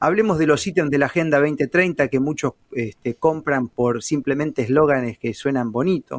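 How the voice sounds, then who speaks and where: A man with an ordinary speaking voice talks at a moderate pace and a fairly high pitch. The sound is dry and close, with no echo. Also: ordinary pitch variation. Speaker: journalist. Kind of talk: casual interview.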